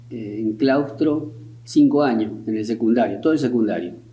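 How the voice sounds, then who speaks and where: A man talks at a fairly slow pace in a dark, mellow tone. Audible room echo surrounds his voice. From Argentina, Río Tercero (Córdoba). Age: 70s. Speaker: war veteran. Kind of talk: interview. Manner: halting.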